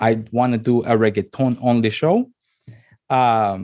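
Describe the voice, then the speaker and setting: A medium-pitched man with a Spanish accent and fairly even intonation. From Honduras. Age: 30s. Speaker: radio host. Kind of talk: casual interview. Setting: video call. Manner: halting, many fillers and repetitions.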